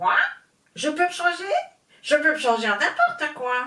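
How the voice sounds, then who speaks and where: Someone with a female-sounding voice does a put-on character voice, pitched high and delivered at a moderate pace. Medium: read story. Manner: brusque, shouting.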